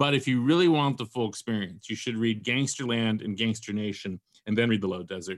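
A man with an unremarkable speaking voice talks at a fairly quick pace in a medium pitch, with ordinary pitch variation. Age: 50s. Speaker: novelist and podcaster. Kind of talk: casual interview chat. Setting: podcast interview.

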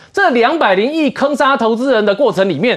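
The man's voice sits high in pitch. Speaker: financial expert. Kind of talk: political talk show panel.

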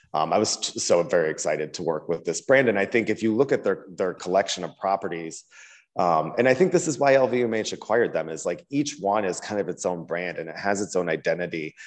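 An ordinary speaking voice from a man with an American accent, fairly low in pitch, with lively intonation at a fairly quick pace over a quiet background. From US Midwest, small town. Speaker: interior design director. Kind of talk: casual interview.

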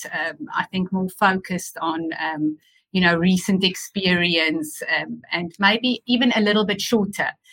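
In a dry, close recording with no echo, a woman speaks at a medium pitch with a bright, sharp tone. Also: ordinary pitch variation, fairly slow pace. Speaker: nurse. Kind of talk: panel discussion.

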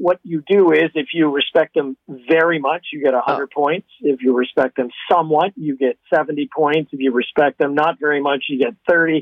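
In a normal speaking voice with a Canadian accent, a man talks at a moderate pace and a fairly high pitch, with ordinary pitch variation and hardly any pauses. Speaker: pollster. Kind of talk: interview.

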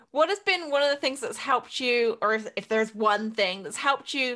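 Against a quiet background, a woman speaks in an animated, bright, sharp tone with ordinary pitch variation. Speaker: podcast host and business coach. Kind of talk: casual interview chat. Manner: animated, excitable.

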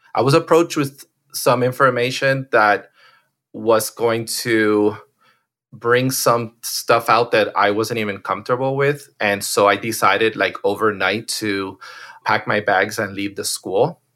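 A man's medium-pitched voice with an American accent, bright and sharp in tone, at a fairly slow pace with ordinary pitch variation. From Miami, Florida. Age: 40s. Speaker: portrait photographer. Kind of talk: interview.

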